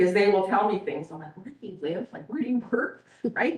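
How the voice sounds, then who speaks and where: With audible room echo, a woman at a medium pitch talks at a very fast pace with lively intonation. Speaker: school administrator presenting to town council. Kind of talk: presentation to council. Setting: council meeting. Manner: animated.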